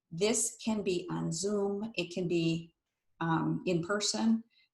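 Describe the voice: Ordinary pitch variation and a slightly mellow tone come through with audible room echo. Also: woman.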